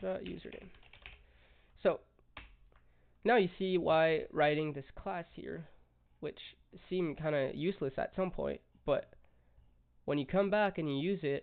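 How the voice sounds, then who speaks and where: Speaking at a fairly slow pace with long, frequent pauses, a man with a fairly high pitch and a strong French accent uses lively intonation. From France. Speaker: coding tutorial youtuber. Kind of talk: tutorial. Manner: casual, halting with fillers.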